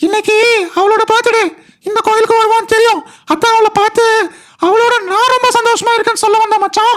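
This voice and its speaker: An extremely high-pitched, cartoonish character voice speaks. The pace is moderate. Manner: eager, chatty.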